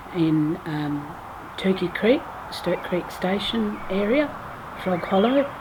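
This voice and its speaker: A woman speaks at a fairly slow pace with lively intonation and a medium pitch, with noticeable background noise and audible room echo. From Western Australia, Geraldton. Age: 50s. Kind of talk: oral family history testimony. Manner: hesitant, many fillers.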